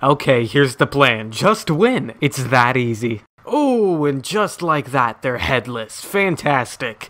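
Noticeable background noise fills the clip. Over it, a man talks with lively intonation. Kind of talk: game announcer voice pack lines.

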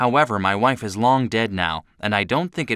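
The voice reads plainly aloud with ordinary pitch variation.

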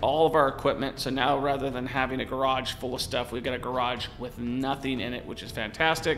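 Music can be heard in the background. Over it, a man speaks at a fairly quick pace. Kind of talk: casual commentary to camera. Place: studio. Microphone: studio mic.

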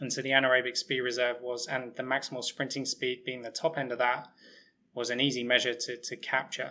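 A man with an English accent speaks at medium pitch in a monotone, flat intonation. His tone is bright and sharp. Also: fairly quick pace. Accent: English, still noticeable after years abroad. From England, Hertfordshire. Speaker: sports physiologist and researcher. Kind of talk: interview. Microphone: webcam.

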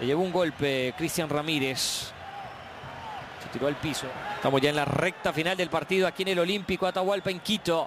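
An excited voice moves at a fairly quick pace with ordinary pitch variation over noticeable background noise. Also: man, high pitch for a man. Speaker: football commentator. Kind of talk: live commentary. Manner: fast, excited play-by-play.

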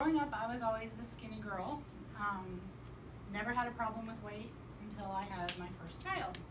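A woman speaks at a moderate pace over noticeable background noise. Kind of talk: personal testimonial to a small group. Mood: earnest, upbeat at end. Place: home room. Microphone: camera far.

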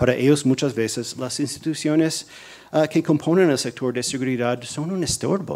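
A man's fairly high voice with ordinary pitch variation at a moderate pace. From US, New Jersey. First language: English (speaking Spanish). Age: 40s. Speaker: policy analyst, think tank director; policy analyst. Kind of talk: lecture. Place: hall. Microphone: podium.

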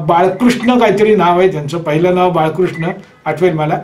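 A man speaks with fairly even intonation. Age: 60s. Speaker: alternative therapy teacher. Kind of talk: course introduction talk. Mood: relaxed, laughing at times. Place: home room. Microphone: webcam.

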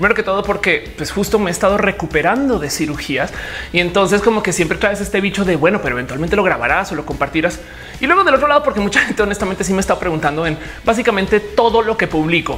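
The speech comes at a very fast pace over faint background music. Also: woman. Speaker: vlogger. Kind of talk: casual vlog chat. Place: home room.

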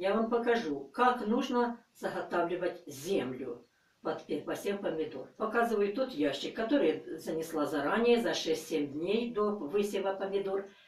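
A woman talks at a fairly slow pace, and room echo is audible. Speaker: gardening channel host. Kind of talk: tutorial. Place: home room. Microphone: camera far.

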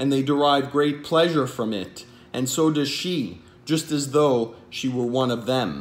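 This man talks at a fairly slow pace in a fairly high voice, with ordinary pitch variation. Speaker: poet and translator. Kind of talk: poetry reading. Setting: home video recording. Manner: measured, formal, solemn. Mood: calm, measured, dramatic. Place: home room. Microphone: webcam.

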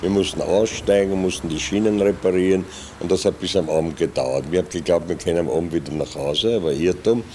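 Against light background noise, a man speaks in a very deep, low voice with ordinary pitch variation. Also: fairly quick pace. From Vienna, Austria. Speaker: improv theatre actor, puppeteer. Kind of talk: oral history interview answer. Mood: calm reminiscing. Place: studio. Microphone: studio mic.

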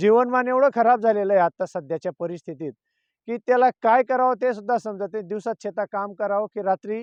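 Over a quiet background, a man speaks at a high pitch with ordinary pitch variation in a dry, close sound with no echo. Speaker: farmer. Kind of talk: interview testimony. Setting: outdoors in a field at night.

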